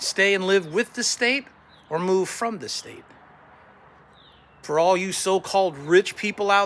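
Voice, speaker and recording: A man with a high voice speaks at a moderate pace. His voice is raised and projected. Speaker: political candidate. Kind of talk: campaign message to camera. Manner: combative, blunt.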